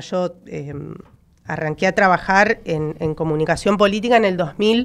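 In a normal speaking voice, the delivery moves at a fairly slow pace with lively intonation. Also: woman. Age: 30s. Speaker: political consultant; panelist. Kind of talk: radio panel debate. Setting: radio studio. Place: studio. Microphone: studio mic.

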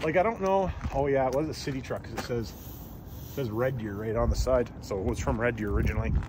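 A man's very fast speech with lively intonation, dry with no echo, over noticeable background noise. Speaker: mechanic vlogger. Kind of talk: casual vlog chat. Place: street. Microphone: phone near.

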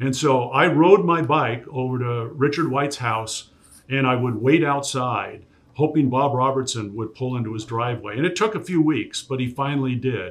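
A man with an American accent speaks at a medium pitch and a moderate pace, with ordinary pitch variation. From US Pacific Northwest, Tacoma; US Pacific Northwest. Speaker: sports play-by-play broadcaster; podcast guest. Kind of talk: casual interview. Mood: relaxed, fond recollection. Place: studio.

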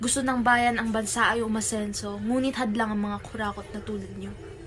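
With music playing in the background, a woman speaks fairly quickly. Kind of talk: spoken word poetry. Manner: accusatory, fervent; rhythmic, declamatory.

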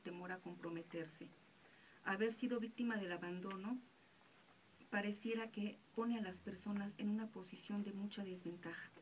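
At a moderate pace, a woman speaks at a medium pitch with fairly even intonation and a somewhat breathy quality over light background noise. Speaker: radio announcer. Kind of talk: radio reflection, reading a personal anecdote on absent fathers. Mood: calm, reflective. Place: studio. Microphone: studio mic.

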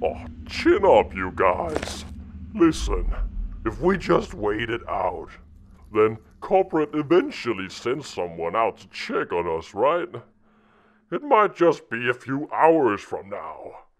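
A man performs a put-on character voice at a fairly slow pace. His loudness swings widely, with long, frequent pauses. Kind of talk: acted dialogue. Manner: panicky, flippant.

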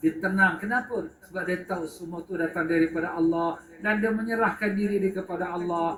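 A man with an animated tone, amid noticeable background noise and audible room echo. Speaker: religious teacher. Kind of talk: religious lecture.

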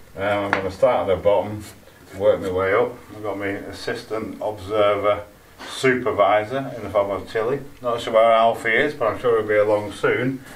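A man with a plain, everyday voice speaks at a fairly low pitch and a moderate pace. His intonation is fairly even over light background noise. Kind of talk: casual vlog chat. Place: garden. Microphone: camera far.

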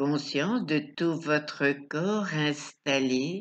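Speaking at a very slow pace, a woman uses a soothing, calm tone and a very deep, low pitch. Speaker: sophrology and hypnosis coach. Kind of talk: guided meditation. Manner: slow, soothing, calm, with long pauses; soft-spoken, gentle, repetitive. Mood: calm, soft, slow. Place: home room. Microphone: webcam.

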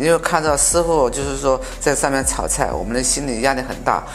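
Faint music plays behind a man as he talks. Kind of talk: interview answer. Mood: proud, reflective. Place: cafe. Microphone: lapel.

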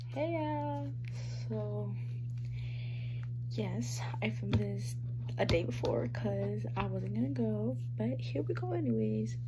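Under loud background noise, a woman talks at a fairly slow pace with long, frequent pauses. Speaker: vlogger. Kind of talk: casual vlog talk to camera. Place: home room. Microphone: phone near.

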